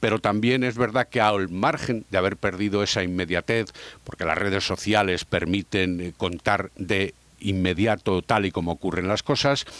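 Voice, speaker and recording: Serious tone at a moderate pace, ordinary pitch variation, dry, close sound with no echo. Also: man, fairly low pitch for a man. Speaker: radio sports broadcaster. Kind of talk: interview answer. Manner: serious, measured.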